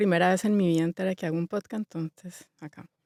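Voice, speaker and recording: The voice is dark and mellow, in a Bogotá accent, with fairly even intonation. The sound is dry and close with no echo, and the recording is very clean with a silent background. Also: woman. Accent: Bogotá (rolo). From Colombia, Bogotá. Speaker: interior designer. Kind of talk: interview. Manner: fast.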